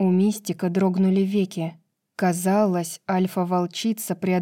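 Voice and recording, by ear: The background is quiet while someone reads aloud in a natural voice.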